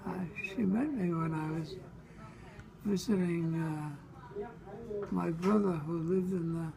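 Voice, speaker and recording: Over noticeable background noise, a man with an American accent and a high pitch speaks at a fairly slow pace with fairly even intonation and long, frequent pauses. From Brooklyn, New York. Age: 80s+. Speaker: former radio writer. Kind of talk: interview answer. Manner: hesitant.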